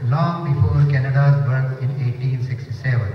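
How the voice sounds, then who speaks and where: A man talks at a fairly high pitch with fairly even intonation. Audible room echo and light background noise surround him. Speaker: mosque administrator. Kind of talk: prepared speech. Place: hall.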